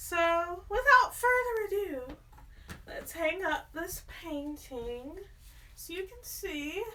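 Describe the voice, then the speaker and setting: A woman speaks in a raised, projected voice at an extremely high pitch, her tone bright and sharp. Her pitch swings very widely, and her pace is very slow. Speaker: artist and home decor vlogger. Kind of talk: casual vlog. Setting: at home in apartment. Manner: stutters when nervous.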